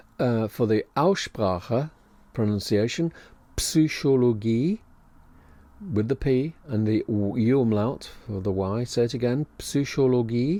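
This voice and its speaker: At a very slow pace, a man speaks in a dark, mellow tone with medium pitch and ordinary pitch variation. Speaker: language teacher. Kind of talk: educational podcast lesson. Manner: unscripted, with ums and ahs.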